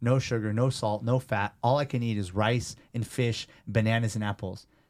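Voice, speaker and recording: A man speaks with a medium pitch. The recording is very clean, with a silent background. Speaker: personal trainer and gym owner. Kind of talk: casual interview chat. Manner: animated.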